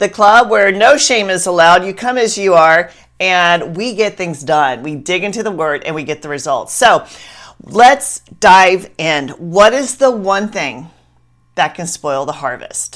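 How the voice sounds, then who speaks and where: On a very clean recording with a silent background, a woman with a Southern US accent speaks at medium pitch in an animated tone, her loudness swinging widely. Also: lively intonation, fairly slow pace. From US South. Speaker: Bible study teacher. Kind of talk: Bible teaching talk.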